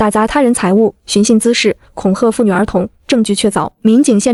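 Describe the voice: The speaker reads aloud plainly. Intonation remains fairly even throughout.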